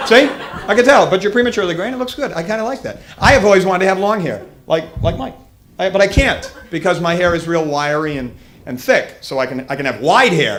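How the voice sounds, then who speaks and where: A man talks at a very fast pace with a high pitch. His pitch swings very widely. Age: 30s. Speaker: stand-up comedian. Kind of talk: stand-up.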